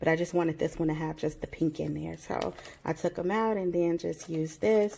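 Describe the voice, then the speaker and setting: A woman's ordinary speaking voice, fairly low in pitch, with fairly even intonation. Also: fairly quick pace. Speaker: craft YouTuber. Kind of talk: show-and-tell haul video.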